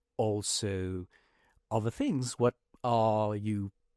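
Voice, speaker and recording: Very clean recording with a silent background and a dry, close sound with no echo. The speaker has a slight French accent and fairly even intonation. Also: man. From France. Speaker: podcast host. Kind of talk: casual podcast interview. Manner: hesitant, many fillers.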